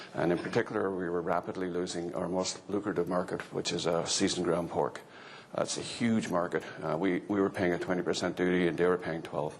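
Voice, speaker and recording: In an Irish accent, a man with a very deep, low pitch speaks at a fairly quick pace. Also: fairly even intonation. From Ireland. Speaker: agricultural economist. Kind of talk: conference talk.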